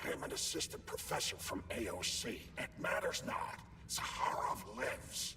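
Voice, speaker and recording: Over loud background noise, a man performs a put-on character voice at a moderate pace. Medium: video game. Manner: earnest, insistent.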